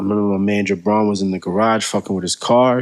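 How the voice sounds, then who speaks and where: In an ordinary speaking voice, a man talks at a fairly low pitch, his intonation fairly even. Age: 20s. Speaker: rapper. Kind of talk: casual interview.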